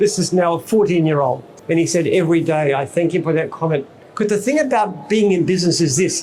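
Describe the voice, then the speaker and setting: Speaking at a moderate pace with an Australian accent, a man uses a high voice with ordinary pitch variation. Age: 70s. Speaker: business founder and CEO. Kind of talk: speech to an expo audience.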